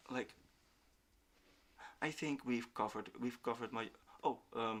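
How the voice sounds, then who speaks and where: Medium-pitched man with a Dutch accent. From Netherlands. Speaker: independent researcher and streamer. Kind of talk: casual chat.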